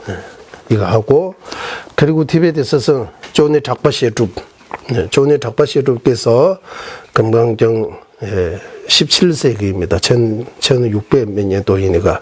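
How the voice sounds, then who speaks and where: A man in a Tibetan accent at a very slow pace, lively intonation set against noticeable background noise. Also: medium pitch for a man. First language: Tibetan (speaking Korean). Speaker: Buddhist monk teacher. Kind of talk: lecture. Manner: halting, many fillers.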